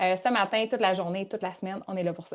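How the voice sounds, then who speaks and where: Against a quiet background, a woman talks in an animated tone with a Quebec accent. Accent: Québécois French. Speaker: workshop leader and coach. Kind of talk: live online workshop. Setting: live video call.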